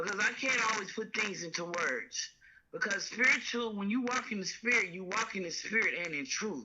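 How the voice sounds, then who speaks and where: Over noticeable background noise, a woman talks at a moderate pace with lively intonation and a fairly high pitch. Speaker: caller. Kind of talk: phone-in conversation.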